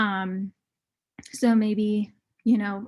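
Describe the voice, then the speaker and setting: Somewhat breathy, a woman speaks at a fairly high pitch with a monotone, flat intonation. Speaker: marketing guest speaker. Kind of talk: webinar presentation. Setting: video call.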